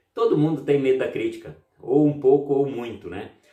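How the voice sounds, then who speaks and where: A man at a moderate pace, with audible room echo. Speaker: EFT therapist and YouTuber. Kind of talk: self-help tutorial. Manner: playful, upbeat today.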